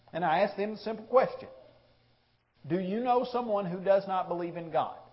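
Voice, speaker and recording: High male voice with ordinary pitch variation and audible room echo. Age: 30s. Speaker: preacher. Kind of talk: sermon.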